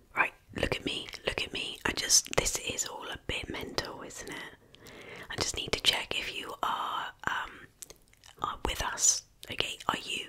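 Whispering and soft-spoken, a woman speaks at a fairly slow pace. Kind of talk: ASMR roleplay, soft spoken. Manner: soft close-mic ASMR whisper. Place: home room.

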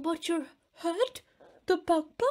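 An extremely high, squeaky, put-on character voice carries the line. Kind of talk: children's book read-aloud. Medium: read story. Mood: spluttering confusion.

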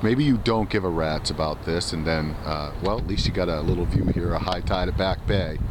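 Noticeable background noise surrounds a man speaking at a moderate pace, the sound dry with no echo. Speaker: political commentator. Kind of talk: vlog monologue. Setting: outdoors. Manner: hesitant, many fillers. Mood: casual, opinionated. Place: waterside.

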